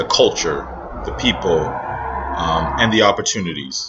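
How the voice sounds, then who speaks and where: Speaking with an American accent, a man takes a fairly unhurried pace. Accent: American-sounding. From Northern Nigeria. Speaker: vlogger and entrepreneur. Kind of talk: casual vlog monologue. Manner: hesitant, many fillers.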